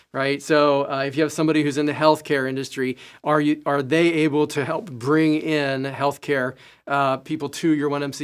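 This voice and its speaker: On a very clean recording with a silent background, a man speaks fairly quickly at a fairly high pitch in a monotone, flat way. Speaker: program orientation trainer. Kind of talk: training presentation. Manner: fast.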